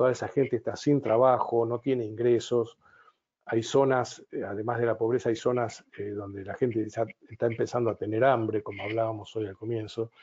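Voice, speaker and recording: A man's voice at medium pitch, with fairly even intonation and a moderate pace. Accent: Argentine. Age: 70s. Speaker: business consultant and psychotherapist. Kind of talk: webinar talk. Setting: online webinar.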